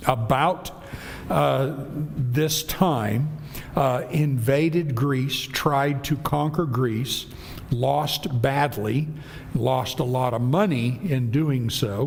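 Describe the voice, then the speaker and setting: Music plays behind a man who speaks at a very slow pace and medium pitch. His loudness stays very even, and the room echo is audible. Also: ordinary pitch variation. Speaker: Bible class teacher. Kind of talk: Bible class lecture. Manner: conversational, with many fillers.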